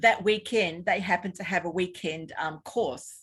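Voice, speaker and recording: On a very clean recording with a silent background, a woman with a New Zealand accent speaks at a moderate pace in a fairly low pitch. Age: 60s. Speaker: health practitioner and former intensive care nurse. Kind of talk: interview. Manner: halting.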